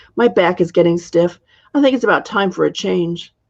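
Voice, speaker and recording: Putting on a character voice, a woman speaks in a raspy, fairly low pitch. Her pace is moderate. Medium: read story.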